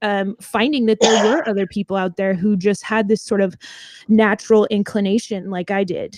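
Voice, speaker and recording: A woman with an American accent speaks at a moderate pace, her pitch fairly high. The background is quiet and the sound is dry and close with no echo. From Southern California (Orange County). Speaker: singer in a band. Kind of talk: interview. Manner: hesitant, many fillers.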